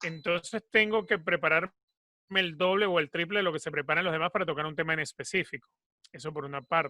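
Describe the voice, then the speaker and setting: A man talks at a very fast pace with a high pitch, ordinary pitch variation and a bright, sharp tone, in a Venezuelan accent. The sound is dry and close, with no echo. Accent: Venezuelan, Caribbean. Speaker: football commentator and sports journalist. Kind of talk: interview.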